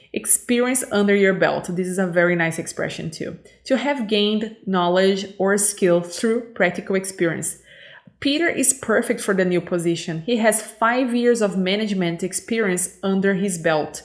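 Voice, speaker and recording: A woman at medium pitch and moderate pace, with ordinary pitch variation. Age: 30s. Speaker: English teacher. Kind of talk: lesson. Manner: hesitant, many fillers.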